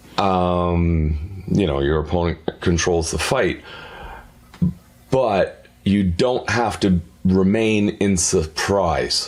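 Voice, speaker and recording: A man's very deep, low voice at a very slow pace, with ordinary pitch variation and very even loudness over noticeable background noise. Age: 60s. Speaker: podcast guest. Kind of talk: casual chat. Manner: halting.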